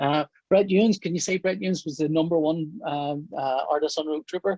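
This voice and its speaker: A man with a Northern Irish accent speaks at a fairly quick pace, his pitch fairly high with ordinary variation. His tone is dark and mellow, and the sound is dry and close with no echo. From Northern Ireland. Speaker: comic book artist. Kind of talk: interview. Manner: hesitant, many fillers.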